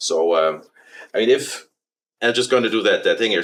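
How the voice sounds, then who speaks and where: With a German accent, a man talks at a fairly quick pace. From Germany. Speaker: company president. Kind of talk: interview. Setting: studio. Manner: hesitant, many fillers.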